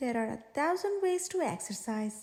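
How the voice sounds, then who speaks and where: Putting on a character voice, a woman speaks high with a warm tone at a moderate pace. Her pitch swings very widely. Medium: read story. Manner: warm, encouraging.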